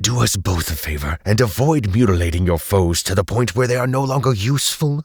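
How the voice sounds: Using a put-on character voice, a man talks raspy and fairly low at a fairly quick pace with hardly any pauses.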